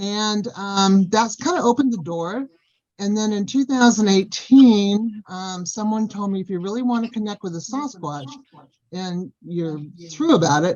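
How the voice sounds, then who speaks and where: With an American accent, a woman of medium pitch sounds somewhat breathy as she speaks at a moderate pace with lively intonation. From Southern California. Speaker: Sasquatch experiencer. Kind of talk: casual chat.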